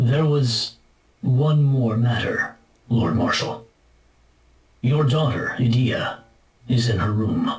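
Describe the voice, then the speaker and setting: A man uses a put-on character voice at a medium pitch. He speaks at a fairly slow pace with long, frequent pauses. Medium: video game. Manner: deferential, measured.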